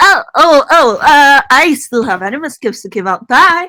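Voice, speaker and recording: A squeaky, high-pitched, put-on character voice is used. It moves at a moderate pace. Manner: panicked, flustered.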